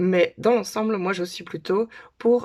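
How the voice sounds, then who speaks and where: With a Dutch accent, a woman speaks with ordinary pitch variation. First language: Dutch (speaking French). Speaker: conference interpreter. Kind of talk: casual talk to camera. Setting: home, daughters' bedroom. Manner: hesitant, with filler sounds.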